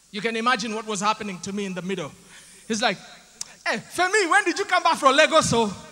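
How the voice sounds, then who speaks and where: A man with an extremely high pitch talks at a very fast pace in a raised, projected voice, his tone animated and his pitch swinging very widely. Long, frequent pauses break up the speech, and noticeable background noise sits underneath. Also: big swings in loudness. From Uganda. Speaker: comedian and MC. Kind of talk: stand-up.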